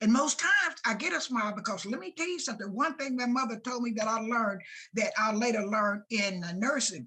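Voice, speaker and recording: Here a woman speaks with an American accent. Her fairly high voice has a bright, sharp tone. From US South. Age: 80s+. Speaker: retired nurse and school integration pioneer. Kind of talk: interview. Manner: animated.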